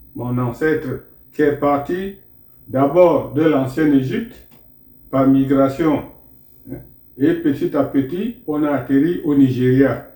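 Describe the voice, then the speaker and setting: A very slow pace with long, frequent pauses, ordinary pitch variation and a dark, mellow tone. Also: man, fairly high pitch for a man. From Cameroon, Moungo area near Douala. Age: 80s+. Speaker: traditional elder and spiritual teacher. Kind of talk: interview storytelling.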